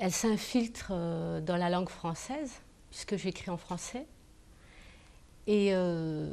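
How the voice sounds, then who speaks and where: Very slowly and with long, frequent pauses, a woman at medium pitch speaks in a dark, mellow tone with ordinary pitch variation. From France. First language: Kabyle (speaking French). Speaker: novelist. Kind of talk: TV interview.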